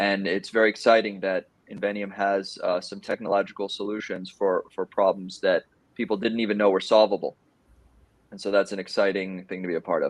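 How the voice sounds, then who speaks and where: A man with an American accent, fairly low in pitch, in a monotone, flat intonation with a dry, close sound and no echo. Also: fairly quick pace. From Miami, Florida. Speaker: AI division director. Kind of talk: panel discussion.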